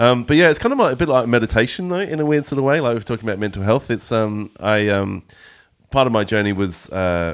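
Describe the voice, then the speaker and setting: A man talks at a very fast pace with an Australian accent. His medium-pitched voice has lively intonation. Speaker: musician and guitar teacher. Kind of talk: interview. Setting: music school.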